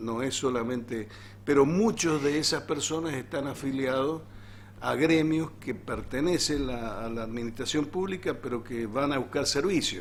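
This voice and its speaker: Amid noticeable background noise and audible room echo, a man talks at a fairly slow pace. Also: medium pitch for a man, ordinary pitch variation. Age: 60s. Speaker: teachers' union leader. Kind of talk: interview.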